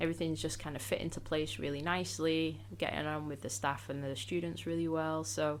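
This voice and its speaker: Her pitch is very deep and low, with lively intonation at a fairly quick pace. Audible room echo comes through around this woman. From northwest England, Salford, Greater Manchester. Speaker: English teacher. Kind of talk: interview. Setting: studio.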